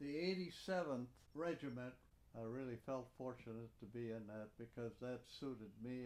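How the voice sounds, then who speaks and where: In an Upper Midwest accent, a man speaks at a fairly slow pace. His medium-pitched voice has a dark, mellow tone. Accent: Upper Midwest American. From Upper Peninsula of Michigan. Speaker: war veteran. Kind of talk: oral history interview.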